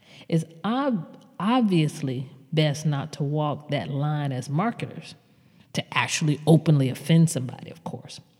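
With an American accent and a very deep, low pitch, a woman speaks at a fairly slow pace with ordinary pitch variation and big swings in loudness over noticeable background noise. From US South. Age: 50s. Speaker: podcast host, marketing consultant. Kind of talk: solo podcast commentary.

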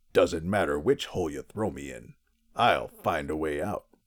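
A man puts on a character voice at a very deep, low pitch with lively intonation. His loudness swings widely as he goes at a moderate pace. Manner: dramatic, menacing.

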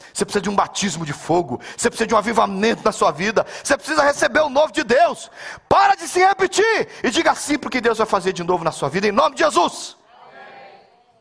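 An animated man with an extremely high pitch, very wide pitch swings and a very fast pace, against noticeable background noise. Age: 50s. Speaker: pastor. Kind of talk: sermon.

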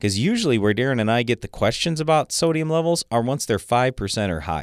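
Recorded with a dry, close sound and no echo, a man at a medium pitch makes very wide pitch swings. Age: 50s. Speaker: farm radio co-host and agronomist. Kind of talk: radio call-in show discussion. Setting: radio studio.

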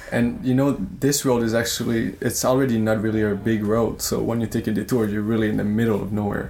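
Talking at a very fast pace, a man speaks in a Quebec accent. His medium-pitched voice stays monotone, with flat intonation. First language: French. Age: 20s. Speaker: traveler. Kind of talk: interview.

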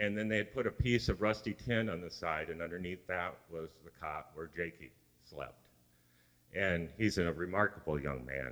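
Very deep and low with vocal fry, a man's voice moves at a moderate pace with lively intonation. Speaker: mission trip team member. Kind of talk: church report talk.

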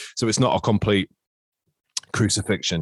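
Speaking at a fairly quick pace, a man talks with an East Midlands accent. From Nottingham, England. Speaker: podcast host. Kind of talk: casual chat.

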